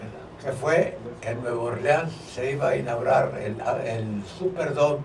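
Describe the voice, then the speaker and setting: Speaking at a fairly slow pace with ordinary pitch variation, a man's voice swings widely in loudness amid audible room echo and noticeable background noise. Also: medium pitch for a man. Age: 80s+. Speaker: civil engineer and former football player. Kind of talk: radio interview.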